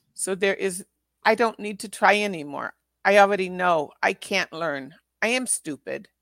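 Speaking at a moderate pace, a woman uses a normal speaking voice at medium pitch with ordinary pitch variation, recorded with a dry, close sound and no echo. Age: 60s. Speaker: former teacher and spiritual healer. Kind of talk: casual interview conversation.

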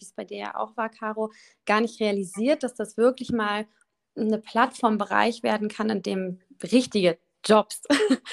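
Speaking at a moderate pace in a normal speaking voice, a woman has a fairly high pitch, and the sound is dry and close with no echo. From Düsseldorf, Germany. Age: 20s. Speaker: influencer manager, agency owner. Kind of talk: casual interview.

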